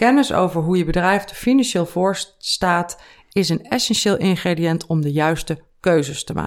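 A woman's normal speaking voice, fairly low in pitch, with ordinary pitch variation, on a very clean recording with a silent background. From Netherlands, Veluwe (Gelderland). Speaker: finance author and entrepreneur. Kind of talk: casual interview. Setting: in person.

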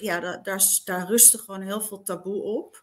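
A woman speaks at a fairly slow pace in a normal speaking voice. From eastern Netherlands. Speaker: radio presenter. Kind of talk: interview.

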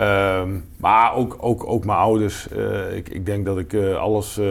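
A man speaks with a fairly low pitch. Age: 50s. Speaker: business executive. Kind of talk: interview.

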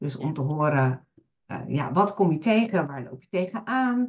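Her pitch rises and falls over a very wide range. The speaker is a woman. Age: 50s. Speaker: virtual assistant. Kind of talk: interview.

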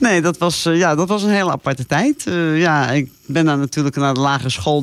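Ordinary pitch variation at a moderate pace. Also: woman. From South Africa (moved from eastern Netherlands at age 8). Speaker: safari traveller, radio guest. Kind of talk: casual interview chat.

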